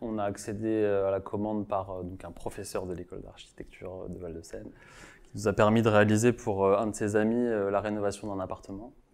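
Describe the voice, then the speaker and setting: The delivery is monotone and flat, at a moderate pace. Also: man, fairly low pitch for a man. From Marseille, France; France. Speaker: architect. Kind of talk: interview. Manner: halting, many repetitions. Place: office. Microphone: lapel.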